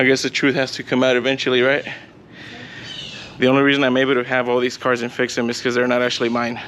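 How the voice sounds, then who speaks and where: The speech runs at a very fast pace in a monotone, flat intonation, broken by long, frequent pauses. Noticeable background noise sits underneath. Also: man, medium pitch for a man. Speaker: car YouTuber and mechanic. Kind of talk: casual garage vlog. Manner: stuttering.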